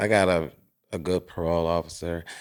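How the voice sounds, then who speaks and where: A man speaks at a moderate pace in a very deep, low pitch. The recording is very clean, with a silent background. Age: 60s. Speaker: formerly incarcerated person. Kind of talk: casual chat.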